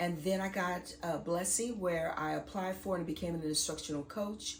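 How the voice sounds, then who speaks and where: A woman with a fairly low pitch talks at a moderate pace with ordinary pitch variation, and audible room echo surrounds her voice. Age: 40s. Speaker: vlogger and school administrator. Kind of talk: casual vlog talk to camera.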